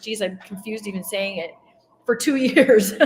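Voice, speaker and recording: A woman with an American accent uses a normal speaking voice at a fairly high pitch. She keeps a moderate pace and fairly even intonation. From US Midwest / Colorado. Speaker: interviewer, former Jehovah's Witness. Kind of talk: interview.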